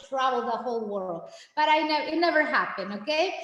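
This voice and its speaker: Amid audible room echo and noticeable background noise, a woman speaks at a fairly quick pace with very wide pitch swings. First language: Spanish. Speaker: Spanish teacher. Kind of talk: informational meeting presentation. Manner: animated; halting.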